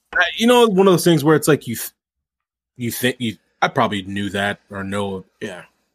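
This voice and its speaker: On a very clean recording with a silent background, a man with an American accent speaks at a moderate pace and medium pitch, with very wide pitch swings and big shifts in loudness. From St. Louis area, US Midwest. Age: 30s. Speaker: sports podcast co-host. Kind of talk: casual chat. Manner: laughs often.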